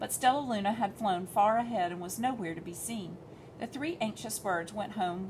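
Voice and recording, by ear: A natural voice, reading aloud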